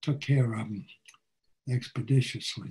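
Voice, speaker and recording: In an American accent, the somewhat breathy voice moves at a fairly slow pace with ordinary pitch variation. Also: man. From United States. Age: 80s+. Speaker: war veteran. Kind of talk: talk presentation over video call. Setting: video call. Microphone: webcam.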